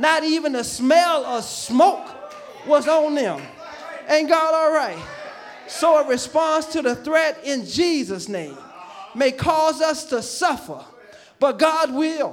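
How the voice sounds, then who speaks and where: With an extremely high pitch and ordinary pitch variation, a man talks at a very slow pace with long, frequent pauses, amid audible room echo and crowd noise behind him. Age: 50s. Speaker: pastor. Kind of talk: sermon. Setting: church.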